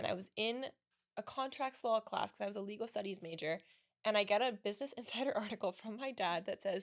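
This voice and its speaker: Speech comes at a very fast pace with ordinary pitch variation. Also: woman, fairly high pitch for a woman. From Miami, Florida. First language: Spanish. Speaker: lawyer and business owner. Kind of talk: podcast interview. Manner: fast, chatty.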